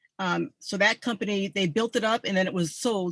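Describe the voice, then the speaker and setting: A woman's ordinary speaking voice with an American accent, medium in pitch with ordinary pitch variation, at a fairly quick pace, in a dry, close sound with no echo. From New England, US (Mystic, Connecticut). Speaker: army veteran, presenter. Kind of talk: online group presentation.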